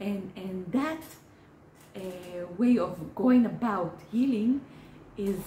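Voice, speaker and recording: With an Israeli accent and ordinary pitch variation, a woman speaks over noticeable background noise. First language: Hebrew. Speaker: therapist. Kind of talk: educational talk. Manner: halting, many fillers.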